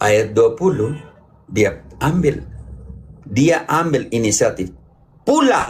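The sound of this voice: At a slow pace, a man with a medium pitch talks using big pitch swings.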